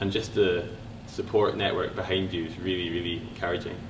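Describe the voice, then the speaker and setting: A man with a very deep, low pitch talks at a fairly quick pace. The room echo is audible and the background noise is noticeable. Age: young. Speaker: university student athlete, mountain biker. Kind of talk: interview.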